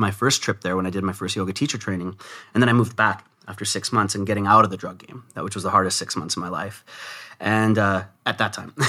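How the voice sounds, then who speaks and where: Talking at a very fast pace, a man with a Canadian accent uses a fairly low pitch, a bright, sharp tone, fairly even intonation and big swings in loudness, on a very clean recording with a silent background. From Vancouver, Canada. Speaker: entrepreneur and former drug dealer. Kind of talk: interview.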